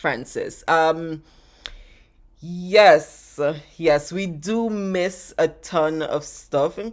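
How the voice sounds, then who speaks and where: A woman with a fairly low pitch and ordinary pitch variation speaks at a very slow pace, with long, frequent pauses. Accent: Jamaican. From Jamaica. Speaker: travel vlogger. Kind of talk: live stream Q&A chat. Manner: animated.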